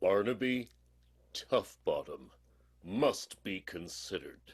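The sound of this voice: A man puts on a character voice, low in pitch with a slightly husky edge. He goes at a slow pace with lively intonation.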